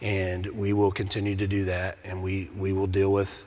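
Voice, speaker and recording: A man with an American accent and a monotone, flat intonation. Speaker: police investigator. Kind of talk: panel discussion. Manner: halting.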